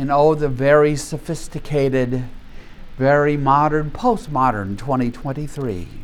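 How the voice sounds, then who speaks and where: Room echo is audible as a man talks at a very slow pace. His pitch is fairly high. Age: 70s. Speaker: Bible study teacher. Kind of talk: Bible study lecture.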